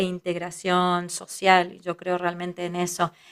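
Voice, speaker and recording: Very clean, with a silent background, the recording has a dry, close sound with no echo. A woman speaks at a moderate pace with a medium pitch. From Israel, raised in a kibbutz by Argentine parents. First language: Hebrew (speaking Spanish). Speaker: psychologist, family constellations teacher. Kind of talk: interview conversation.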